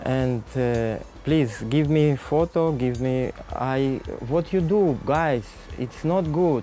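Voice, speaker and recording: A man with a non-native accent speaks at a very slow pace and medium pitch, with ordinary pitch variation and very even loudness over noticeable background noise. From Kurdistan. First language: not English. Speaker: interviewee, animal rescuer. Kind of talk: interview. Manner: halting, many hesitations.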